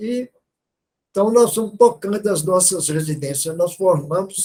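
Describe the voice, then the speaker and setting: This man's voice sits at a high pitch. It has ordinary pitch variation. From Brazil, interior of Minas Gerais. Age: 80s+. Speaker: physiatrist, retired physician. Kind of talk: testimony.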